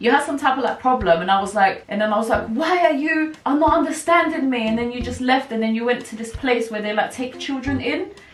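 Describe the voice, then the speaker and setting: With a British accent, a woman speaks at a high pitch with lively intonation, amid audible room echo and noticeable background noise. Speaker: vlogger. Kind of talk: casual chat. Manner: chatty, rambling.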